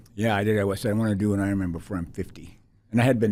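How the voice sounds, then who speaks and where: A man with an American accent has a fairly low pitch and a dark, mellow tone. Audible room echo surrounds his voice. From Minnesota, US Upper Midwest. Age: 60s. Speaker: athlete and author. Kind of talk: casual interview. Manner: halting.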